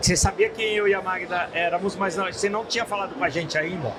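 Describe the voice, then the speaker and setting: Pitch moves in an ordinary way while noticeable noise sits in the background. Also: man. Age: 60s. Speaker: business founder. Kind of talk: podcast interview. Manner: repetitive, halting.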